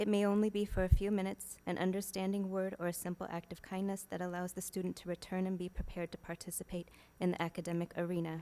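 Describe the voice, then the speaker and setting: Soft-spoken and dark, mellow in tone, a woman talks at a very fast pace in a monotone, flat intonation with hardly any pauses. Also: medium pitch for a woman. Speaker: school staff, public commenter. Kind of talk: public comment, reading prepared statement. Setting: school board meeting.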